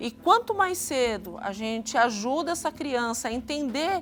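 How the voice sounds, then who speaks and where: A woman speaks in a high voice. Her intonation rises and falls in a lively way. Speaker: psychologist, TV guest expert. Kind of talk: expert explanation on TV talk show.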